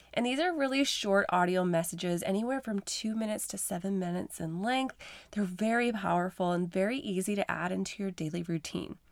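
An animated tone at a fairly quick pace, ordinary pitch variation, and a very clean recording with a silent background. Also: woman, medium pitch for a woman, hardly any pauses. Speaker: podcast host and coach. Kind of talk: motivational pep talk, warmly encouraging. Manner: uplifting, animated and affirming, speaking directly to the listener; persuasive, with rhythmic repetition.

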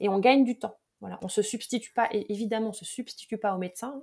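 A woman with a fairly high pitch has an ordinary speaking voice and ordinary pitch variation. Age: 40s. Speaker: mental performance coach. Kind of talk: interview.

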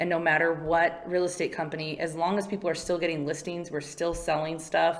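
With an American accent, a woman speaks at a fairly quick pace in a fairly low pitch over noticeable background noise. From California. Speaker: mortgage marketing and HR manager. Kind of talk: interview. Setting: studio.

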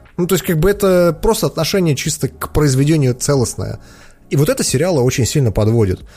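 At a very fast pace, a man with a fairly high pitch and a dark, mellow, somewhat breathy tone sweeps his pitch very widely. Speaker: podcast host. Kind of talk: casual chat, Q&A. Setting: studio, streamed live with video. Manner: informal, joking.

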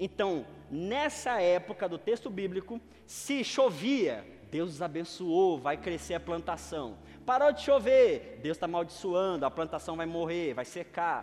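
A high-pitched man at a fairly slow pace, his voice moving in very wide pitch swings. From Brazilian Northeast. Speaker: pastor. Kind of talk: sermon.

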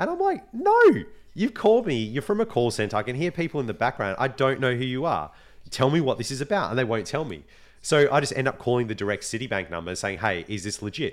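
On a very clean recording with a silent background, a man with an Australian accent speaks very fast at a medium pitch with very wide pitch swings. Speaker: podcast host. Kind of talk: casual chat.

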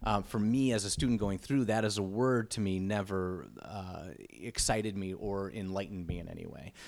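With hardly any pauses, a man in an unremarkable speaking voice talks at a moderate pace, his pitch fairly low with ordinary pitch variation. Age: 40s. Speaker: improv comedian and teacher. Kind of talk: casual chat.

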